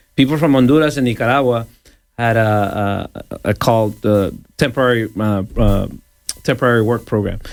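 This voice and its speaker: A man with a normal speaking voice talks at a fairly quick pace, his medium pitch kept to a fairly even intonation. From El Salvador, moved to Los Angeles at 11. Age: 40s. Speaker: radio DJ. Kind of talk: casual interview. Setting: radio studio.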